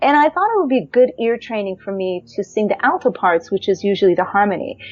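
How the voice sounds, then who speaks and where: A woman with an American accent speaks at a fairly quick pace and a medium pitch. Hers is a plain, everyday voice. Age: 50s. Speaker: jazz singer. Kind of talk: personal storytelling.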